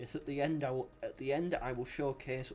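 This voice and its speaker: A man talks with a British accent in a fairly high pitch. His pitch variation is ordinary. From Britain. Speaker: game developer and streamer. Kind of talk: casual commentary while gaming on stream. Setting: livestream with voice chat. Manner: animated.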